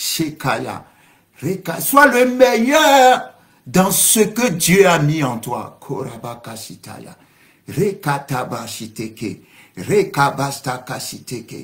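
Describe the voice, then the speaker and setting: A man speaks very slowly in a fairly high voice with very wide pitch swings, and the room echo is audible. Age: 60s. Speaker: pastor. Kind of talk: sermon. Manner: speaking in tongues interspersed.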